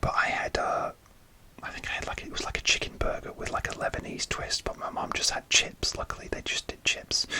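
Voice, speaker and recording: A man whispers at a fairly quick pace. There is noticeable background noise. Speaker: ASMR content creator. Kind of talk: whisper ramble story time.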